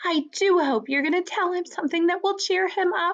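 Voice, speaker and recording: A woman puts on a squeaky character voice at an extremely high pitch, talking at a fairly quick pace. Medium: read story.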